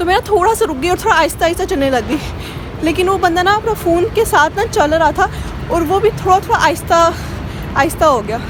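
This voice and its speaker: An extremely high-pitched woman's voice with lively intonation at a moderate pace, crowd noise behind her. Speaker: vlogger. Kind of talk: travel vlog. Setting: outdoors.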